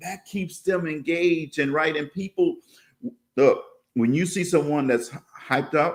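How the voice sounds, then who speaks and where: A man speaks at a fairly slow pace with a fairly high pitch. His pitch varies in an ordinary way, and he takes long, frequent pauses. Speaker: educator. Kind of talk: interview. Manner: energetic.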